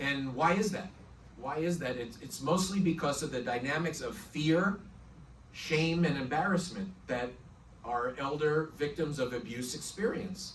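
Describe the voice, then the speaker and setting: The speaker has a slight New York accent and a fairly slow pace. Ordinary pitch variation comes through audible room echo. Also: man, fairly high pitch for a man. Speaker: prosecutor. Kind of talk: presentation talk.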